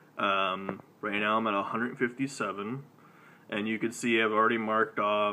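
Light background noise sits behind a man speaking at a moderate pace. His fairly low voice has a monotone, flat intonation. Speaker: gaming channel host. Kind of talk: casual live stream talk. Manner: casual, hesitant. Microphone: phone near.

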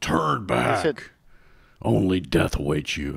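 In a put-on character voice, a man speaks very slowly with a raspy, very deep, low pitch. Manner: ominous, threatening.

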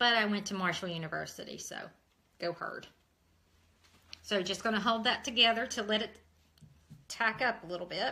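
Speaking fairly quickly but with long, frequent pauses, a woman with a West Virginia accent has a bright, sharp tone, a fairly high pitch and ordinary pitch variation. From Ohio. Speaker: craft tutorial host. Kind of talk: tutorial. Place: kitchen. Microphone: phone near.

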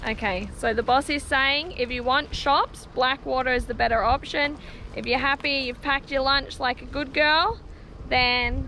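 A woman speaks at a moderate pace in a high pitch with ordinary pitch variation, in a dry sound with no echo and light background noise. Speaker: family travel vlogger. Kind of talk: casual vlog chat. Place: street. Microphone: phone near.

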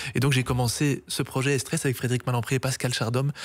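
Speaking at a very fast pace, a man holds a monotone, flat intonation. His pitch is medium, and the background is quiet. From Brussels, Belgium. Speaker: accordionist; guest. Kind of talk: interview. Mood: warm, reminiscing. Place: studio. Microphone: studio mic.

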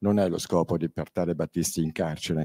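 A man with a very deep, low pitch and a dark, mellow tone speaks in a flat monotone, the sound dry with no echo. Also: quiet background. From Milan, northern Italy. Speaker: crime victim and author. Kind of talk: panel talk at a public event. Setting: stage with audience. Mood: earnest, firm, indignant at times. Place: hall. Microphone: handheld.

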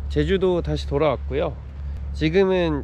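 Moderate pace, light background noise and a dry sound with no echo. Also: man. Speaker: travel vlogger. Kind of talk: casual vlog chat. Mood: relaxed, pleased. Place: waterside. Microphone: phone near.

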